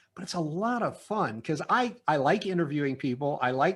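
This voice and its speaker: A man speaks in a normal speaking voice at a fairly high pitch, with lively intonation, a moderate pace, and a quiet background. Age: 60s. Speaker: business consultant. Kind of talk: interview. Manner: casual, with many fillers.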